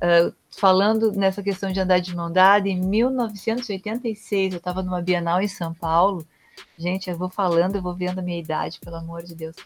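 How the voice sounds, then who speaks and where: Her pitch lands in the middle of the range. The woman keeps to a moderate speed. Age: 50s. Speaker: art teacher. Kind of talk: casual chat. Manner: halting.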